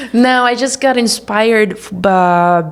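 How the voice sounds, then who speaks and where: The speaker talks with a Brazilian accent and ordinary pitch variation. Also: woman. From Brazil, small town. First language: Portuguese. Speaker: documentary filmmaker. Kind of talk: interview. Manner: halting, many fillers.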